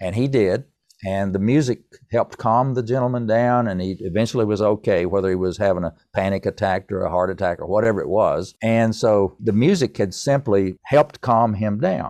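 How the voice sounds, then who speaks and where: A man with an American accent and an unremarkable speaking voice talks at a moderate pace, with a fairly low pitch and ordinary pitch variation. The background is quiet, and the sound is dry and close with no echo. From US South. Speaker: composer. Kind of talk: interview.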